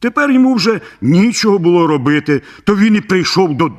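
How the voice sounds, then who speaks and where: A man puts on a character voice pitched high. He speaks at a moderate pace. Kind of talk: bedtime story. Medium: read story. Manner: even, unhurried.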